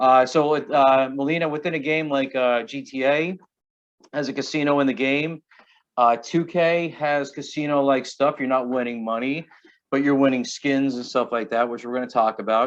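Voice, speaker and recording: The man's pitch is fairly high. His intonation stays fairly even. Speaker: prevention educator. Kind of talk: online class presentation. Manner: fast.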